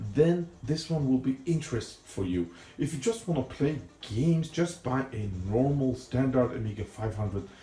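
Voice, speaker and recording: A non-native accent at a moderate pace, with lively intonation and music in the background. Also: man, medium pitch for a man. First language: not English. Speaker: retro computer YouTuber. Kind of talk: tutorial. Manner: soft-spoken; casual and chatty.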